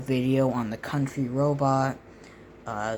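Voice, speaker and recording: Very slow speech over noticeable background noise. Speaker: amateur storyteller and artist. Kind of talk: storytelling monologue; channel outro. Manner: halting, with pauses.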